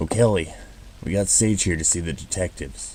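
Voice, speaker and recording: A man's put-on character voice, very deep and low, raspy, with very wide pitch swings, a fairly quick pace and clear background noise. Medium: audio drama.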